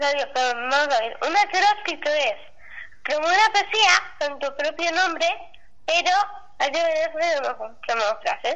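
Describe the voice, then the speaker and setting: Amid noticeable background noise, a woman speaks at an extremely high pitch and a very slow pace, with long, frequent pauses. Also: ordinary pitch variation. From Spain, Segovia. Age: 20s. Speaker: student with Down syndrome. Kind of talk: casual chat. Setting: phone call.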